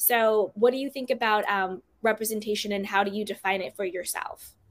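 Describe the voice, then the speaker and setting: A plain, everyday voice talks at a moderate speed, its pitch varying in an ordinary way. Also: woman. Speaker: podcast host. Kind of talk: casual interview chat.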